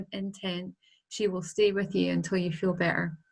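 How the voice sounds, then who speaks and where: In a strong Scottish accent, a woman with a medium pitch and a somewhat breathy voice speaks at a moderate pace on a very clean recording with a silent background. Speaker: angel healer, author. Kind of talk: interview.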